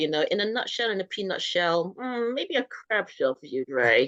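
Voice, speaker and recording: The speech moves at a moderate pace in a dry, close sound with no echo. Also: woman. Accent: British. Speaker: talk show host. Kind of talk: casual interview.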